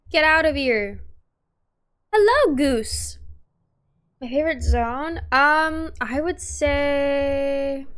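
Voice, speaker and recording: Long, frequent pauses break up a woman's very slow speech. Her pitch is high, and the room echo is audible. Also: ordinary pitch variation. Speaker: gaming streamer. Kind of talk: casual gameplay commentary.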